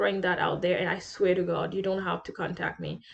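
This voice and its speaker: A woman speaks at a medium pitch in a French accent. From bilingual French-patois-speaking island. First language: French patois. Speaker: international student vlogger. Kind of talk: casual vlog advice.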